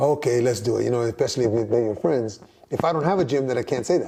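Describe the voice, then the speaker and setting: A man's medium-pitched voice at a very fast pace, with ordinary pitch variation and noticeable background noise. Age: 60s. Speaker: boxing trainer. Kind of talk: interview. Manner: halting.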